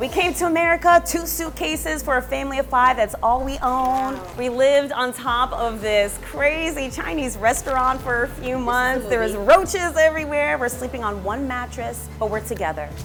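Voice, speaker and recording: Over music in the background, a woman talks with hardly any pauses, her high-pitched voice full of lively intonation. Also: moderate pace. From Germany, raised in the United States. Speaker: children's book author. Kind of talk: interview answer.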